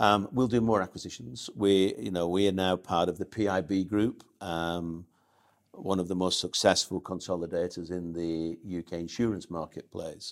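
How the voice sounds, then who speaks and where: A man's very deep, low voice at a moderate pace, ordinary pitch variation, in a very clean recording with a silent background. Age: 50s. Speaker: business executive. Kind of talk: interview.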